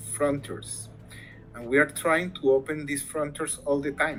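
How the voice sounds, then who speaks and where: A man with a Spanish accent speaks at a fairly high pitch and a moderate pace. His intonation is fairly even, with music in the background. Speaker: academic interviewee on language rights. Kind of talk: interview. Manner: halting, many fillers.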